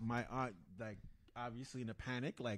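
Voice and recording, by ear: The man's voice sits at a medium pitch.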